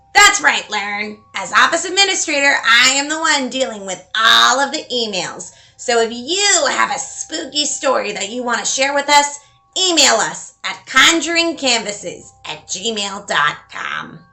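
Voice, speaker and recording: A woman's put-on character voice, high in pitch. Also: moderate pace. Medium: solo performance.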